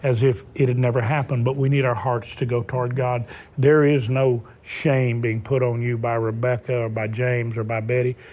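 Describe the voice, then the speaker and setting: A man talks at a moderate pace in a monotone, flat intonation. His voice sits at medium pitch and sounds somewhat breathy. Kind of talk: TV talk show interview. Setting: TV studio.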